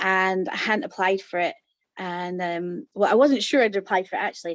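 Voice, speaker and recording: With a Scottish accent, a woman speaks at medium pitch and a moderate pace, her pitch varying in an ordinary way. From Scotland. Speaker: course participant, mother, former dance school owner. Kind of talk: interview. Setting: video call. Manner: hesitant, many fillers.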